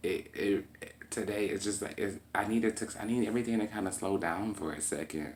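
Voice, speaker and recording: Ordinary pitch variation marks a man who speaks at a fairly quick pace. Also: fairly low pitch for a man. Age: 20s. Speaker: vlogger talking about mental health. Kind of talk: personal monologue vlog. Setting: at home. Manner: calm.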